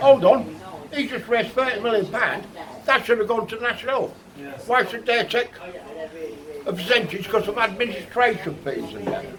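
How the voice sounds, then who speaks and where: Amid noticeable background noise, a man speaks at a moderate pace and high pitch with lively intonation. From England. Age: 60s. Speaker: local resident interviewed in the street, army veteran. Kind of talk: vox pop interview. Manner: animated.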